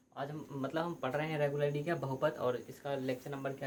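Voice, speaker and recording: A man's fairly high voice with fairly even intonation, noticeable background noise and audible room echo. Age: 20s. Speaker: teacher. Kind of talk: lecture. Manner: hesitant, repetitive.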